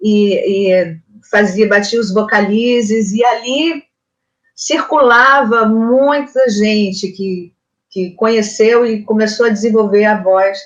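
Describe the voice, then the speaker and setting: A woman with a fairly high pitch talks at a very slow pace, using ordinary pitch variation. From Brazil, Northeast (Pernambuco/Ceará family). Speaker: singer and voice teacher. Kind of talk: interview. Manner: halting, many repetitions.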